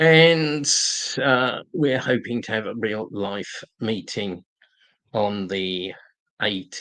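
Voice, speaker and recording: With a London accent, the speaker talks at a very slow pace, using lively intonation and long, frequent pauses. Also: man, medium pitch for a man. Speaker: political activist live-streamer. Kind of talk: live stream talk and Q&A. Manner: halting, many fillers and repetitions.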